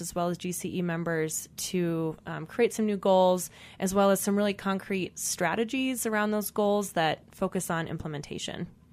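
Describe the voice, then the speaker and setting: A woman speaks in a normal speaking voice at medium pitch and a moderate pace, with fairly even intonation. The recording is very clean, with a silent background. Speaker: clean energy associate director. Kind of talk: radio interview.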